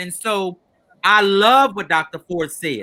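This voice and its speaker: Raised and projected, a man's bright, sharp voice sits high in pitch and moves at a fairly slow pace. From Louisiana. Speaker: educator, former school principal. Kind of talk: panel discussion.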